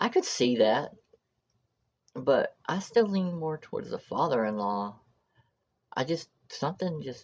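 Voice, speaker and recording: Very wide pitch swings at a moderate pace. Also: woman. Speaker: true crime reaction youtuber. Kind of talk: casual vlog reaction. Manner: halting, tripping over words.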